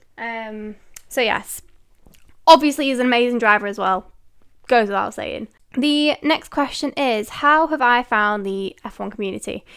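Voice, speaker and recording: A woman's high voice in a Mancunian accent, at a moderate pace with ordinary pitch variation and big swings in loudness, on a very clean recording with a silent background. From northern England, Manchester. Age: 20s. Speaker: podcast host. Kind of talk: casual solo Q&A chat. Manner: animated.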